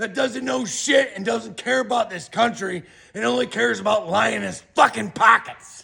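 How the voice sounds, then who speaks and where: Shouting in an animated tone, a man sends his pitch through very wide swings. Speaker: political commentator. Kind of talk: rant. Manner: loud, yelling.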